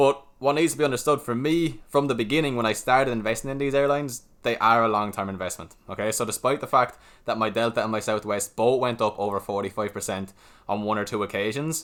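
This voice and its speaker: A man with an Irish accent at a very fast pace, medium pitch and ordinary pitch variation, on a very clean recording with a silent background. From Ireland. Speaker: stock market YouTuber. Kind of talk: casual chat.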